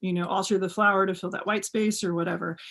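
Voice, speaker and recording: Speaking in a flat monotone, a woman with an American accent keeps to a medium pitch. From Texas. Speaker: custom cowboy boot maker. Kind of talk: interview conversation. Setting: video call.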